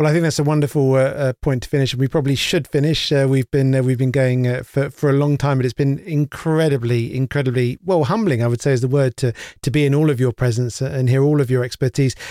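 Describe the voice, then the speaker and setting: A man with a British accent at a very fast pace, medium-pitched with a dark, mellow tone, hardly any pauses, fairly even intonation and very even loudness, in a dry, close sound with no echo. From UK. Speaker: podcast host. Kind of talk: moderated round-table interview. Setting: remote video call.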